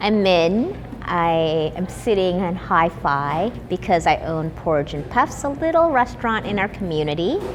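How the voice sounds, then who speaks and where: With an American accent, a woman speaks at a fairly slow pace with lively intonation and hardly any pauses over noticeable background noise. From US Midwest, Wausau, Wisconsin. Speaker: chef and restaurant owner. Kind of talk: interview. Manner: casual, with fillers.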